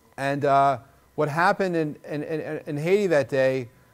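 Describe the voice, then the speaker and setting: Talking at a moderate pace, a man with a Long Island accent has a fairly high pitch. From Long Island, New York. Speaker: internet entrepreneur. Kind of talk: speech. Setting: stage with audience. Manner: halting, many repetitions.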